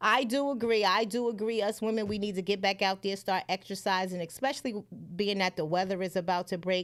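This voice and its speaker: A woman talks fairly quickly at medium pitch with fairly even intonation and very even loudness, in a plain, everyday voice. The recording is very clean, with a silent background. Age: 40s. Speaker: livestream talk show host and comedian. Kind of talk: casual livestream chat.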